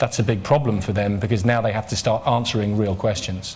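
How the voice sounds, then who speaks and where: Amid audible room echo, a somewhat breathy man talks at a moderate pace with fairly even intonation. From Ireland. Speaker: politician, party leader. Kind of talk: press conference Q&A. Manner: halting, repeats words.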